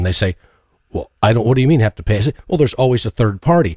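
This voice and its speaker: Very wide pitch swings and a somewhat breathy quality, on a very clean recording with a silent background. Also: man, dry, close sound with no echo. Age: 50s. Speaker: podcast host. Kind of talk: interview podcast.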